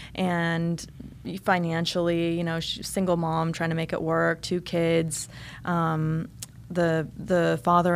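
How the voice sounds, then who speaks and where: At a fairly slow pace, a woman with a General American accent speaks in a fairly low pitch and a monotone, flat intonation. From rural eastern Oregon, US. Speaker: TV news anchor. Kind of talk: interview. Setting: studio.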